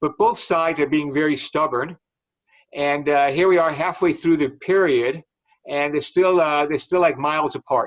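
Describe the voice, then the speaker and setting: With an American accent, a man talks in an ordinary speaking voice at a fairly high pitch and moderate pace, keeping very even loudness and fairly even intonation. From Chicago, US Midwest. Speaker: financial market analyst. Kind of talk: webinar talk and Q&A.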